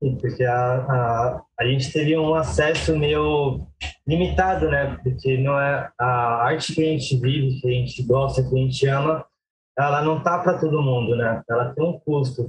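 Here a man talks at a fairly slow pace in a medium pitch. His loudness stays very even, and his pitch varies in an ordinary way. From Brazil, Guarulhos (São Paulo). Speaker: circus performer and juggler. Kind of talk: interview. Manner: halting.

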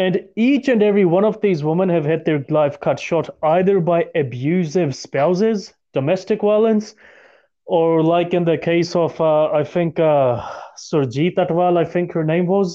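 At a moderate pace, a man speaks in a high voice with ordinary pitch variation and very even loudness. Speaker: podcast host. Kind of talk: casual discussion podcast.

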